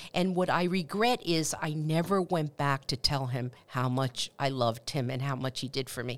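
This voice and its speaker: A woman speaks with a Spanish accent and lively intonation at a moderate pace. The recording is very clean, with a silent background. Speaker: university president. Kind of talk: interview answers on a campus podcast.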